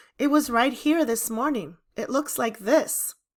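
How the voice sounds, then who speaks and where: A woman puts on a raspy character voice with a high pitch. Her pitch varies in an ordinary way, and she speaks at a fairly slow pace. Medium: read story.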